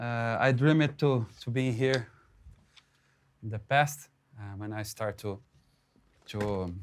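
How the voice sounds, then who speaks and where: Speaking with a Portuguese accent at a very slow pace with long, frequent pauses, a man has a medium pitch and ordinary pitch variation. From Brazil. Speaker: drummer and drum educator. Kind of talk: drum clinic talk. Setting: live clinic with audience. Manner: halting, many repetitions and fillers.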